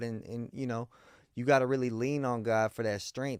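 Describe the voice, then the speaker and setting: A man with an American accent and an ordinary speaking voice, medium in pitch at a moderate pace, in a very clean recording with a silent background and dry, close sound with no echo. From Miami, Florida. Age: 30s. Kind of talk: casual interview.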